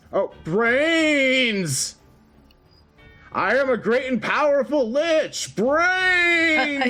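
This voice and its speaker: A man uses a put-on character voice at an extremely high pitch. He talks at a very slow pace over faint music in the background. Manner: boastful, hungry.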